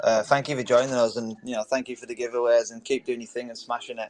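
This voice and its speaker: A man's medium-pitched voice in an English accent, monotone and flat, very fast with hardly any pauses. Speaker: audio room host. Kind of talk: casual chat.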